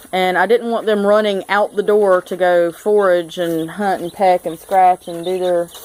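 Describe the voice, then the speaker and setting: Speaking at a moderate pace with hardly any pauses, a woman with a Southern US accent keeps a medium pitch and monotone, flat intonation. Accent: Southern US (South Georgia). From US South, South Georgia. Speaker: homesteader, DIY video maker. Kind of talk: casual show-and-tell tutorial. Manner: casual, hesitant with fillers.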